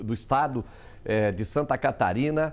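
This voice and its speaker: Vocal fry shows in a man's voice. He keeps a moderate pace. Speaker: TV news host. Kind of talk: TV studio interview questions. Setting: studio.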